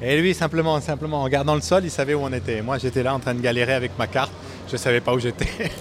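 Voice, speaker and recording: A man talks very fast with ordinary pitch variation, noticeable background noise running beneath him. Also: medium pitch for a man. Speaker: aircraft factory worker and pilot. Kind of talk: interview testimony.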